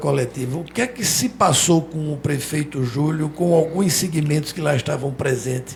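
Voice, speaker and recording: Using an ordinary speaking voice, a man talks at a moderate pace in a fairly high pitch with lively intonation. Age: 60s. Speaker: radio and web TV journalist. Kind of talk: interview.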